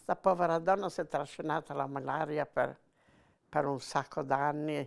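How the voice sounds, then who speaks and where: A woman speaks at a moderate pace with a very deep, low pitch and vocal fry. Her intonation is fairly even, against a quiet background. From Genoa, Italy; Italy. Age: 80s+. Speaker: former partisan; witness. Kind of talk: testimony; interview answer. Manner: halting. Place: home room. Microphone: lapel.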